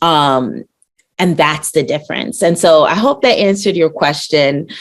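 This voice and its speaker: A woman's very deep, low voice in an American accent, with lively intonation and very even loudness. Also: moderate pace. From Brooklyn, New York. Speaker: rapper and NFT artist. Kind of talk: podcast interview.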